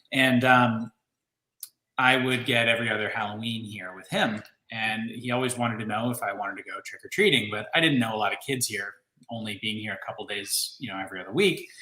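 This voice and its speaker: Speaking with an American accent, a man talks at a fairly quick pace and a medium pitch, with ordinary pitch variation and big swings in loudness. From Ohio and Philadelphia area, US. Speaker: candle maker and channel host. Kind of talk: casual chat. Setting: livestream video chat. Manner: animated.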